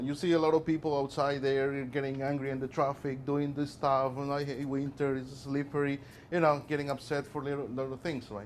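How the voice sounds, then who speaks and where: Speaking at a fairly quick pace, a man with a non-native accent has a fairly high pitch. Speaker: workplace safety presenter. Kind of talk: presentation to a class. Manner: animated, conversational.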